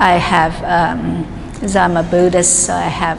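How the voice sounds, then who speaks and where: Speaking at a fairly slow pace, a woman is recorded with audible room echo. Noticeable background noise is present too. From New York City, Chinese immigrant family. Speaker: artist. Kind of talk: describing her artworks. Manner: halting, many fillers.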